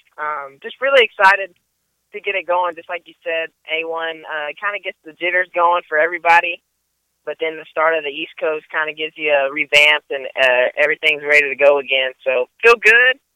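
A man with an American accent and a plain, everyday voice speaks at a fairly quick pace, fairly high in pitch, with ordinary pitch variation and big swings in loudness. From Texas. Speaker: privateer motocross racer. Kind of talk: phone interview. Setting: phone call.

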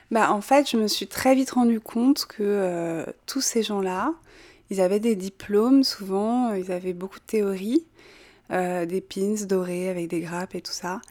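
An unremarkable speaking voice, a woman speaks at a medium pitch and fairly slow pace with ordinary pitch variation, on a very clean recording with a silent background. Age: young. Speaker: natural wine distributor. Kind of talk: interview. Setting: at her home.

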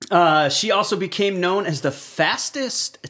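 A man speaks with lively intonation. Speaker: podcast co-host on auto repair. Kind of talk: casual chat.

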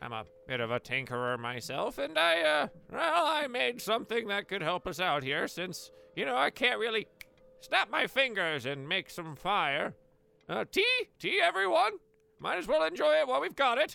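A man performs a put-on character voice, high in pitch with very wide pitch swings. His pace is moderate. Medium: actual play. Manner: hesitant, rambling, friendly.

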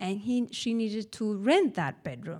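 Lively in intonation, a woman speaks at a fairly high pitch with a Spanish accent. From Spain, Bilbao (Basque Country). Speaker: storyteller, teacher. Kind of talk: live storytelling.

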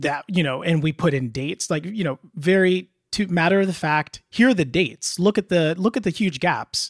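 With an American accent, a man speaks at a moderate pace in a high voice with ordinary pitch variation, the sound dry and close with no echo. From US Midwest (Indiana, Illinois). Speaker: law school admit. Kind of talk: interview.

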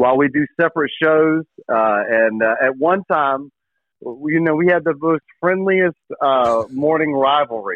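An ordinary speaking voice with an American accent, very even loudness, ordinary pitch variation and a fairly slow pace. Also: man, fairly high pitch for a man. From eastern North Carolina. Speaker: sports radio host. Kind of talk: casual chat.

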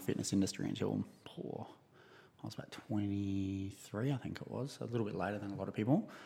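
With an Australian accent, a man talks at a fairly quick pace and fairly low pitch, with big swings in loudness and ordinary pitch variation. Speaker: gym owner. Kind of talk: casual interview.

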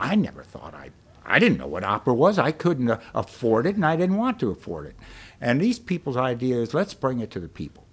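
A man with vocal fry and a medium pitch talks at a fairly quick pace, with very wide pitch swings and big swings in loudness. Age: 60s. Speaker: bookstore owner. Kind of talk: interview. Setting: bookstore stage.

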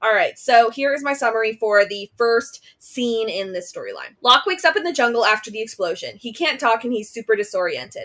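A woman speaks with hardly any pauses in a fairly high voice. Her tone is bright and sharp, and her intonation is lively. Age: 20s. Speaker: podcast host. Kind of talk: casual chat.

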